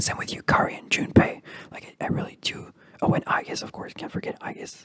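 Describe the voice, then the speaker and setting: The voice is whispering at a fairly quick pace. Noticeable background noise is present. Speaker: ASMR creator. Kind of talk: ASMR video game ramble. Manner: whispered.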